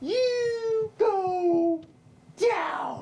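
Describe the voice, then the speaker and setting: In a put-on character voice, a man sounds squeaky at an extremely high pitch. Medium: solo performance. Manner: flat, sinister.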